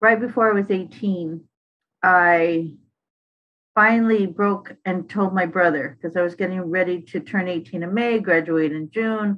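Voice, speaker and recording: Here is a plain, everyday voice at a moderate pace. Its intonation stays fairly even. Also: woman. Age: 60s. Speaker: formerly incarcerated advocate. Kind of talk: testimony. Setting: podcast.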